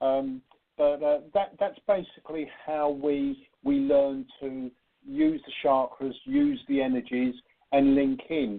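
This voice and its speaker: Speaking with a British accent, a man uses a fairly high pitch and fairly even intonation. His pace is very slow. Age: 60s. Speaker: spiritual medium. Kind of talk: radio interview.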